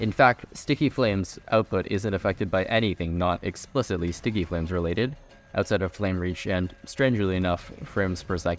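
Music plays in the background as the speech runs at a fairly quick pace with ordinary pitch variation. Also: man, very deep, low pitch for a man. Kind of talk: video game commentary.

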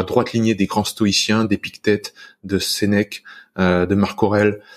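Against a quiet background, a man with a fairly low voice talks at a very slow pace. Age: 30s. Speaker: antifragility podcaster and coach; antifragility podcaster, coach. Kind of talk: casual chat.

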